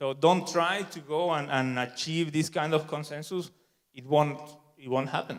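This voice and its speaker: A man's fairly high-pitched voice with a Spanish accent. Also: fairly even intonation, moderate pace, big swings in loudness. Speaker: software developer, conference speaker. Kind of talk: conference talk.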